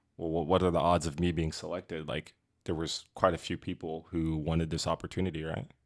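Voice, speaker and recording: The speech comes at a fairly quick pace in a monotone, flat intonation, on a very clean recording with a silent background. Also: man, very deep, low pitch for a man. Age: 20s. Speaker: podcast guest, cannabis industry worker. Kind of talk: casual podcast chat.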